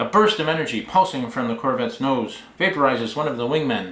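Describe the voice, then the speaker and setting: A man with a medium pitch talks fairly quickly in lively intonation, with audible room echo around him. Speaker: author. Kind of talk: reading aloud.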